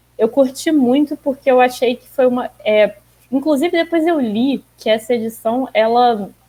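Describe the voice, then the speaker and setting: Pitched high, a woman speaks with ordinary pitch variation and big swings in loudness. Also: moderate pace. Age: 20s. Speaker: comic fan guest. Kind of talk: casual chat.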